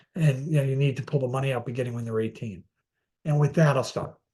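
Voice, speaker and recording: A dark, mellow tone comes through in this somewhat breathy voice. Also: man. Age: 60s. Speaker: finance expert, former asset management executive. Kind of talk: webinar presentation. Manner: halting, many fillers and repeats.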